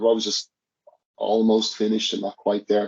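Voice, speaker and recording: The sound is dry and close, with no echo. A man is speaking. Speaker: singer and guitarist in an independent band. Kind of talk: casual interview chat. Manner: halting, many repeated words.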